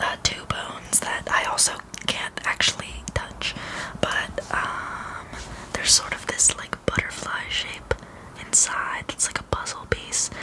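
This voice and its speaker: Someone whispers at a very slow pace with long, frequent pauses. Noticeable background noise sits behind the voice. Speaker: anthropologist (role-play persona). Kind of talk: ASMR roleplay, educational personal-attention explanation. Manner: whispered, soft-spoken.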